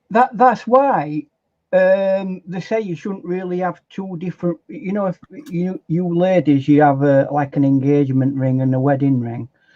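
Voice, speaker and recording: A man speaks in a Yorkshire accent with a dark, mellow tone. The sound is dry and close, with no echo. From South Yorkshire, England (Barnsley). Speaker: artist. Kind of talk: casual chat. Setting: live stream.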